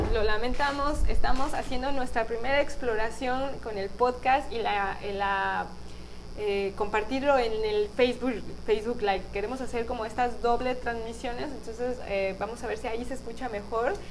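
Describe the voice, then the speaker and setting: With audible room echo, a woman speaks at a fairly slow pace in a fairly high pitch, showing vocal fry and ordinary pitch variation. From Mexico, Guadalajara, Jalisco. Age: 30s. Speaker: podcast host and spiritual guide. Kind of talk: spiritual talk on live podcast stream. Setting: live stream on video.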